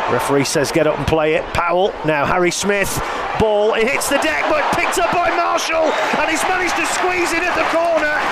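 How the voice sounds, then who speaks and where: Against noticeable background noise, a man with an extremely high voice sounds animated, his pitch swinging very widely while his loudness stays very even. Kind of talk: live sports commentary (rugby league highlights). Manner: fast, animated play-by-play delivery, rattling off player names and vivid descriptions; enthusiastic and witty, with dry humour and laughter.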